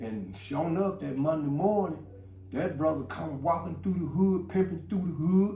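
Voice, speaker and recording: A high-pitched man with lively intonation and audible room echo. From Chicago, West Side. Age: 60s. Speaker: former gang member. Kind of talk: interview storytelling. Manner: rambling with many fillers.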